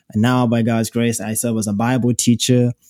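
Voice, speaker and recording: A man talks at a moderate pace with a medium pitch and a dark, mellow tone. The recording is very clean with a silent background and a dry, close sound with no echo. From Zimbabwe. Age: young. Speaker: podcast co-host. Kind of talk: casual Bible discussion. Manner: animated.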